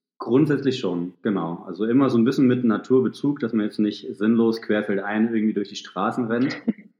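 With an ordinary speaking voice, a man talks at a moderate pace in a medium pitch, using ordinary pitch variation and hardly any pauses. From Thuringia, Germany. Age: 30s. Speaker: ultrarunner and sports therapist. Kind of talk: podcast interview.

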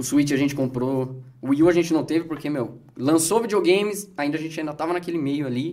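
At a fairly quick pace and with hardly any pauses, a man speaks at a fairly high pitch. His pitch varies in an ordinary way, with noticeable background noise behind him. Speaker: game collector and gameplay youtuber. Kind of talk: casual chat. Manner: fast.

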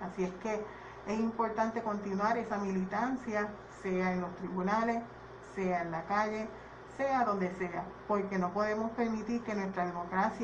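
A woman speaks with fairly even intonation amid noticeable background noise and audible room echo. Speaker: political candidate. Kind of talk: radio panel discussion.

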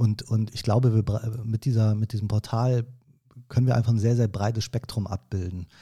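A man speaks at a moderate pace in a somewhat breathy, dark and mellow voice of medium pitch, flat and monotone. The recording is very clean, with a silent background. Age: 30s. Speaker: event manager. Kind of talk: casual chat. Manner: hesitant, many filler sounds.

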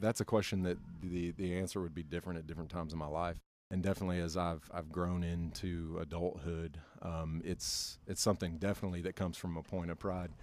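A man speaks very fast with an Appalachian accent. His very deep, low pitch stays monotone and flat. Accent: Appalachian US Southern. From North Carolina. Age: 30s. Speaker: educator. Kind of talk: casual interview. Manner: halting, many fillers.

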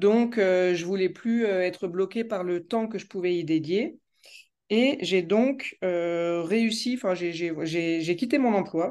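Against a quiet background, a woman speaks very slowly in a dark, mellow tone. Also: medium pitch for a woman, ordinary pitch variation. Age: 30s. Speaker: law student. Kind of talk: interview. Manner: halting.

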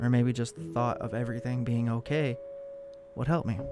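Music plays in the background as a man talks. His pitch is medium and his intonation fairly even. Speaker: podcast host and narrator. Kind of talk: horror story narration, read aloud. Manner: hushed, slow and suspenseful, building dread; intimate first-person storytelling, eerie.

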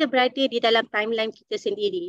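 The recording of this woman is dry and close, with no echo at all. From Malaysia, Dungun, Terengganu. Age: 30s. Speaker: gold dealer sharing success story. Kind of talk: online presentation. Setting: Zoom webinar. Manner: halting with many fillers.

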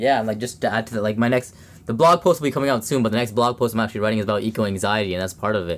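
With a Canadian accent, a man talks at a very fast pace. His pitch is medium, with ordinary variation. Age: 20s. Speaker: podcast host, student environmentalist. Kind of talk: casual chat. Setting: home basement studio.

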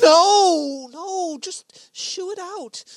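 A put-on character voice moves at a very slow pace. The sound is dry and close with no echo. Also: woman, extremely high pitch for a woman, ordinary pitch variation.

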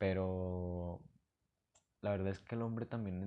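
Speaking with a Mexican accent, a man has a dark, mellow tone, a fairly low pitch and fairly even intonation. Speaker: podcaster. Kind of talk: casual monologue. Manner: halting.

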